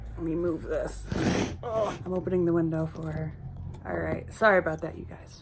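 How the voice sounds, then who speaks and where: Someone with an American accent speaks at a moderate pace with big swings in loudness, audible room echo and noticeable background noise. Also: woman. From US East Coast, mainly Philadelphia area. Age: 20s. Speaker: YouTuber. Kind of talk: Q&A vlog, casual. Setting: home, sitting by a windowsill.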